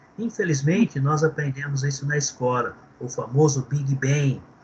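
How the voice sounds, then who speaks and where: Noticeable background noise sits under a man's voice. He speaks at a fairly slow pace with a fairly high pitch. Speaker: theology teacher. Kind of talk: lecture.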